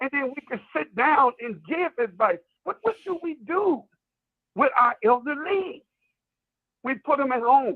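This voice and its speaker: A man's extremely high voice, lively in intonation, at a fairly slow pace with long, frequent pauses. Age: 60s. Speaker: call-in show panelist. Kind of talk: casual discussion. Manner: animated.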